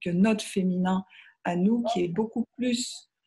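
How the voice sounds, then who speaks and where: In a very clean recording with a silent background, a woman speaks at a very slow pace in a dark, mellow, somewhat breathy tone with fairly even intonation. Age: 60s. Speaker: author on feminine spirituality. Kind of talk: interview conversation. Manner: hesitant, many fillers.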